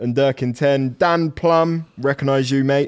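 With fairly even intonation, a man delivers his words at a very slow pace. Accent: British.

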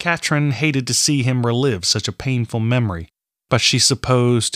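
In a very clean recording with a silent background and a dry, close sound with no echo, a man with an ordinary speaking voice talks at a moderate pace and medium pitch, with ordinary pitch variation and very even loudness. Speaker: audiobook narrator and author. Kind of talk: dramatic fiction narration, read aloud. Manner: measured, storytelling cadence, with tension and emotion in the tone.

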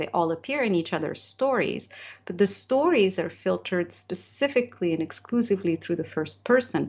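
A woman with a Moroccan accent, medium pitch, and very wide pitch swings. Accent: Moroccan-inflected English. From Morocco. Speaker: novelist. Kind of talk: interview.

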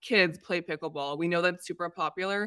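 Speaking with an American accent, a woman of fairly low pitch is heard on a very clean recording with a silent background. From US West Coast, San Diego. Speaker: vacation rental designer. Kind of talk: casual chat. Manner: animated.

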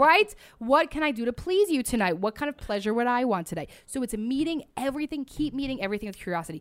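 A woman with a high pitch talks at a very fast pace with hardly any pauses. Her tone is animated, with very wide pitch swings. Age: 20s. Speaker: marriage and family therapist. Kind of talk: casual interview chat.

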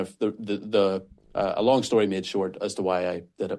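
A man with a Northern Irish accent against a quiet background. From Northern Ireland. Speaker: pastor. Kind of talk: interview. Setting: remote call.

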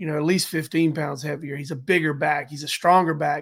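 With a normal speaking voice, a man talks at a fairly high pitch and a fairly quick pace on a very clean recording with a silent background. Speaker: sports podcast co-host. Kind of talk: casual sports talk.

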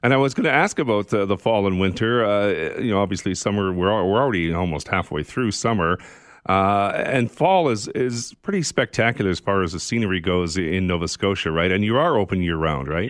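A man with a plain, everyday voice talks at a fairly quick pace with hardly any pauses, fairly low in pitch, with ordinary pitch variation and very even loudness. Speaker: radio host. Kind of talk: interview.

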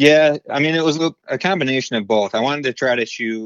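A man with an American accent speaks in an ordinary speaking voice at a fairly quick pace with ordinary pitch variation. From central Michigan. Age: 20s. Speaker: deer hunter. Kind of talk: casual chat. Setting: phone call.

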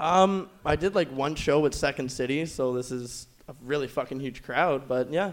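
A man talks with a Canadian accent in a plain, everyday voice. His pitch is fairly high, with ordinary pitch variation. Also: moderate pace. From Ontario, Canada. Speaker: amateur comedian. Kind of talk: stand-up. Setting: stage with audience.

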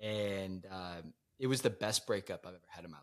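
A man with an ordinary speaking voice and fairly low pitch talks at a moderate pace. His intonation is fairly even. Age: 20s. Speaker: newly engaged fiance. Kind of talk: casual interview chat.

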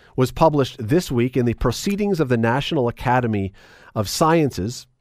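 A man speaks at a medium pitch and moderate pace, his voice moving in very wide pitch swings. The recording is very clean, with a silent background. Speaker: radio host. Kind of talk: radio interview.

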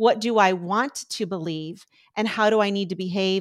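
A woman talks at a fairly quick pace in a medium pitch. She has a normal speaking voice with fairly even intonation. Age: 50s. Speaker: recovery coach. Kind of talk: interview.

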